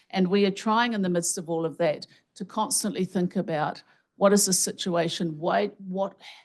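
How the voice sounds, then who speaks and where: Against a quiet background, a woman speaks in a medium pitch at a moderate pace, with fairly even intonation. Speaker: health researcher and professor. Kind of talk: keynote lecture. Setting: conference stage with audience and microphone.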